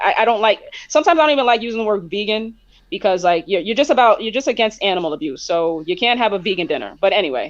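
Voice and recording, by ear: Speaking at a fast pace, a woman with a medium-pitched voice uses lively intonation.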